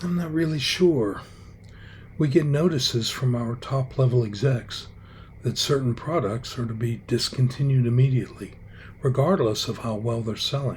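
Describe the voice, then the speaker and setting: This man talks at a moderate pace and medium pitch. His voice is somewhat breathy. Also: ordinary pitch variation. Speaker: comedy show host. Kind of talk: satirical fake news narration.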